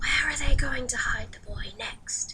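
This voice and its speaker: A woman whispers in a put-on character voice. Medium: read story. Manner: cold, measured, commanding.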